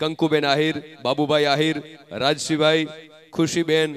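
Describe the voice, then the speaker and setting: Over light background noise, a man speaks in a fairly high voice with monotone, flat intonation. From Gujarat. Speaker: event emcee. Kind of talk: stage announcements. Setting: stage with audience. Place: stage. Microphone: handheld.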